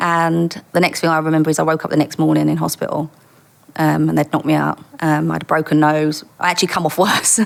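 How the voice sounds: Putting on a character voice in an East London accent, a woman talks at a very fast pace in a raspy, very deep, low pitch.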